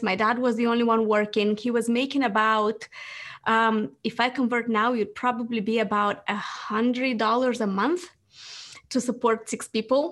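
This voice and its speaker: A woman with an Eastern European accent speaks at a moderate pace, her pitch fairly high. The recording is very clean, the background silent. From Moldova. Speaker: business founder. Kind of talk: interview.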